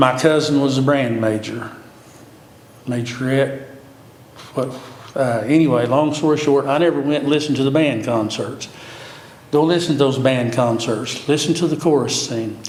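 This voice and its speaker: Medium-pitched male voice with an American accent, fairly even intonation and a moderate pace, long, frequent pauses, audible room echo and noticeable background noise. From Oklahoma, near Cushing. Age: 70s. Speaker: city commissioner candidate. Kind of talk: interview.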